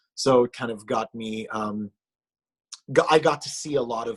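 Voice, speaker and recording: A man with an Israeli accent speaks at a moderate pace, his intonation fairly even. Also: dry, close sound with no echo. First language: Hebrew. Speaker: musician. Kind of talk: casual chat. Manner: halting.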